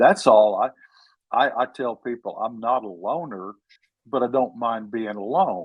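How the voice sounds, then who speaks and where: With a Texan accent and a medium pitch, a man speaks at a fairly slow pace with ordinary pitch variation and long, frequent pauses. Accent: Texan drawl. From Texas. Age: 70s. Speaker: author. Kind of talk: interview.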